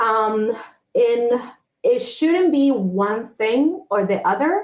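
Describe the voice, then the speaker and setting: At a very slow pace, a woman speaks with a high voice that makes very wide pitch swings while her loudness stays very even. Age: 40s. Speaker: humanitarian aid worker and entrepreneur. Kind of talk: interview.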